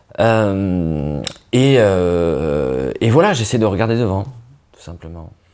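Amid audible room echo, a man with a very deep, low pitch speaks at a very slow pace, his intonation lively and his loudness swinging widely. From northern France (Nord). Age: 30s. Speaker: comedian. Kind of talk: casual interview.

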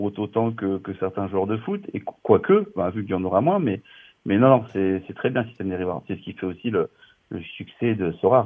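A normal speaking voice from a man, fairly low in pitch, moderately paced. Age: 40s. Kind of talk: casual chat.

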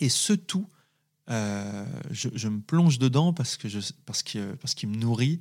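On a very clean recording with a silent background, a man at medium pitch speaks at a very slow pace with lively intonation. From France, Saint-Étienne area. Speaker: actor. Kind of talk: interview testimony. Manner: halting.

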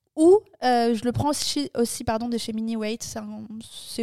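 Dry and close with no echo, a woman's voice moves at a fairly slow pace, fairly high in pitch with ordinary variation. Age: 20s. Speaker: podcast co-host. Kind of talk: casual chat.

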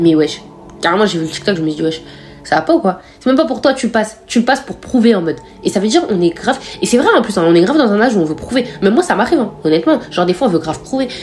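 Very fast and fairly high-pitched, a woman's voice swings very widely in pitch against noticeable background noise. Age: 20s. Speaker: podcaster. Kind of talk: casual monologue. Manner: casual, hesitant with fillers.

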